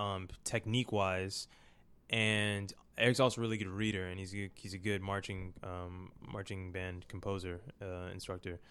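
Someone with an American accent speaks at a moderate pace in a monotone, flat way, on a very clean recording with a silent background. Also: man, very deep, low pitch for a man. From US East Coast, Baltimore. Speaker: drummer. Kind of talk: casual chat.

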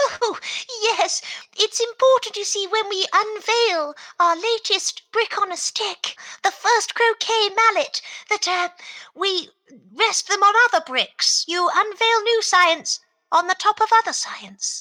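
A woman speaks fairly slowly in an extremely high voice. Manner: cheerful, brisk.

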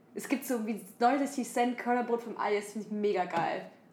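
A high-pitched woman is heard over noticeable background noise. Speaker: podcast co-host. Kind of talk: casual chat. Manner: halting, many fillers.

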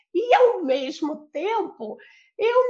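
Her pitch swings very widely as this woman speaks. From Brazil, Rio de Janeiro. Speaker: facilitator and translator of a personal development method. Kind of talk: interview.

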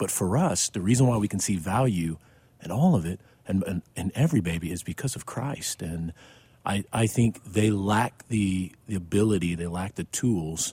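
Somewhat breathy, a man's very deep, low voice moves at a moderate pace with ordinary pitch variation. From Missouri, US Midwest. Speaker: pastor. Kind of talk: casual chat.

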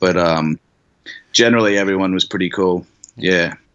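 A man with an Australian accent speaks at a moderate pace in a very deep, low pitch. The background is quiet. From Australia, Brisbane. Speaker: artist. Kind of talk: casual chat.

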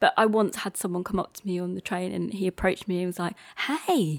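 Here a woman talks in a London accent. The background is silent and the recording very clean. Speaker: playwright. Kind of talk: casual interview. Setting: her flat.

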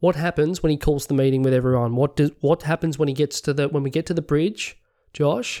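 Someone speaks at a fairly quick pace with an Australian accent, in a very clean recording with a silent background. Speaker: podcast co-host. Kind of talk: casual chat.

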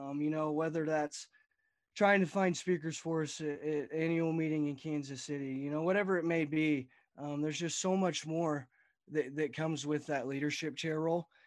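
Over a quiet background, a man with an American accent talks at a moderate pace, using a fairly high pitch and fairly even intonation. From Texas Panhandle. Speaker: college student and retiring youth livestock association director. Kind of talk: casual interview.

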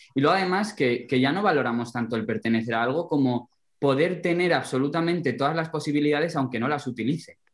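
A man at a very fast pace, fairly high in pitch, with ordinary pitch variation. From Alto Tajo, central Spain. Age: young. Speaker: rural development volunteer. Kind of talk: casual chat.

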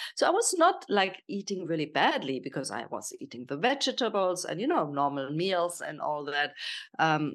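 A woman with a German accent speaks with very wide pitch swings against a quiet background. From Germany. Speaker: health and nutrition coach. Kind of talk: casual interview.

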